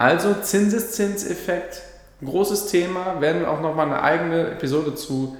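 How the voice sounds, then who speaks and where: There is noticeable background noise and audible room echo around a man's voice. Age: 20s. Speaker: financial advisor podcaster. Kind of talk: solo explainer monologue.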